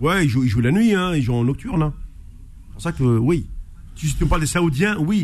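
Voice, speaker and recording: Using lively intonation and a fairly high pitch, a man speaks at a moderate pace broken by long, frequent pauses. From Algeria. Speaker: sports radio host. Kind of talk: radio sports talk show.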